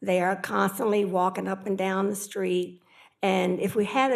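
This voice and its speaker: A woman is talking at a fairly slow pace. Her pitch is medium. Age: 60s. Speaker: resident speaking at public comment. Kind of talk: public comment.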